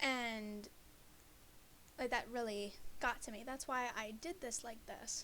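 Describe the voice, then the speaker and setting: Soft-spoken and fairly high-pitched, a woman talks at a fairly slow pace. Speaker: student presenting a class project. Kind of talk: class presentation.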